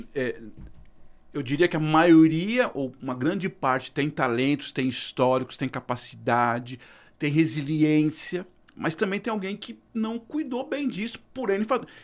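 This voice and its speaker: A man's fairly high, fairly slow voice with very wide pitch swings, in a very clean recording with a silent background. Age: 50s. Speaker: podcast host. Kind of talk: podcast interview.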